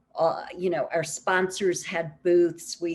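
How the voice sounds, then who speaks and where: With an American accent, a woman speaks at a fairly low pitch and a fairly slow pace. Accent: New York accent, comes out when talking food. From New York. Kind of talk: conference presentation.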